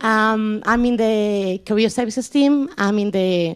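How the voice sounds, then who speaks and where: A woman with a Spanish accent speaks at a medium pitch on a very clean recording with a silent background. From Spain. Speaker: careers advisor. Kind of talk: presentation. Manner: loud.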